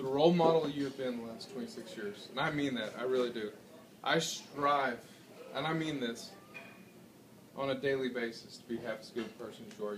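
A man talks at a fairly quick pace while noticeable background noise runs underneath. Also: ordinary pitch variation. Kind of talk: toast speech. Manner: tipsy, earnest rambling. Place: bar. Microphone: phone near.

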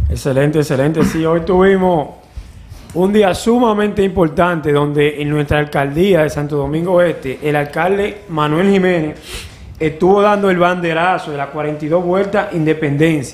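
Fairly high for a man, this voice carries ordinary pitch variation. He speaks at a moderate pace. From Dominican Republic, Cibao; Dominican Republic. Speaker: sports show host, former athlete; sports show host. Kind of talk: sports news roundup. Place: studio. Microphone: studio mic.

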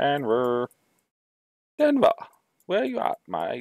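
A man's put-on character voice in an Australian accent

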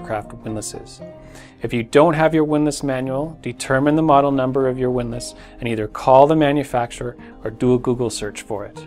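Faint music plays in the background as a man speaks. His pace is fairly quick, with ordinary pitch variation. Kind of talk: tutorial. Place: shop.

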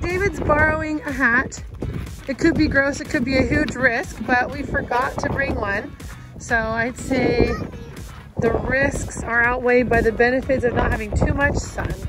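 Music plays in the background while the voice moves at a moderate pace. The sound is dry, with no echo. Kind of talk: casual vlog chat. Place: open country. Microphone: phone near.

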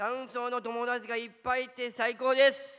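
A man speaks fairly slowly in an extremely high voice. He raises and projects it, and the tone is bright and sharp. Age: 20s. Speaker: office worker with Down syndrome. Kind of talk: prepared speech. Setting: stage with audience. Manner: halting.

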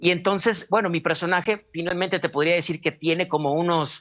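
A man's high voice with ordinary pitch variation against a quiet background. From Mexico, Culiacán, Sinaloa; Sinaloa, Mexico. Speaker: clown and actor; actor. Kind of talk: interview. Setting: video call. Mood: warm, reflective. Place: home room. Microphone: video call.

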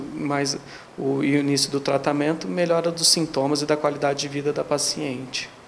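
A man speaks at a moderate pace with a fairly high pitch and monotone, flat intonation. Light background noise is present. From Brazil, São Paulo state interior. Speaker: gynecologist. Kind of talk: interview. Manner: halting, frequent fillers. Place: office. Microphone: handheld.

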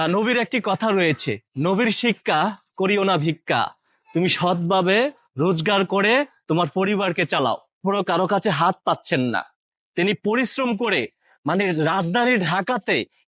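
High for a man, this voice moves through its pitch in a normal way. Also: very even loudness, dry, close sound with no echo. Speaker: social experiment vlogger. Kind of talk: moral commentary to camera; street prank interview. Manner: pleading, repetitive.

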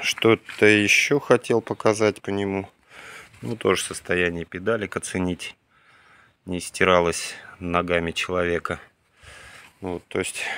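A man speaks at a fairly slow pace with long, frequent pauses, his very deep, low voice bright and sharp in tone, fairly even in intonation, and dry with no echo. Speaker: vintage tractor enthusiast vlogger; owner showing tractor. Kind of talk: casual video walkthrough. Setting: outdoors, plane flying overhead at one point. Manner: unhurried, many filler words. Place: garden. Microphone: phone near.

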